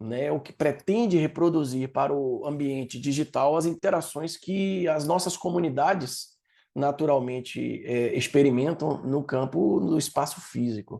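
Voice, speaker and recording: Against a quiet background, a man speaks in a dark, mellow tone with a Bahian accent. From Brazil, Salvador, Bahia. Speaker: project leader and learning designer. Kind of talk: talk. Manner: lecturing, didactic.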